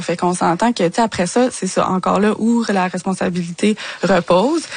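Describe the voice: At a moderate pace, a woman speaks at a medium pitch with fairly even intonation.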